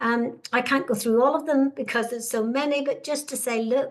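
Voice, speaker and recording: A woman speaks in a Northern Irish accent. Her tone is warm. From Northern Ireland. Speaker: webinar host, career researcher. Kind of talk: webinar presentation. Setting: online webinar. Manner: warm, hesitant with frequent fillers.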